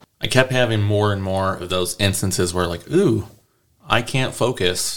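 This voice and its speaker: A man speaks at a moderate pace in a normal speaking voice. His pitch is fairly low, with ordinary pitch variation. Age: 30s. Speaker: air force service member, guest. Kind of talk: personal story.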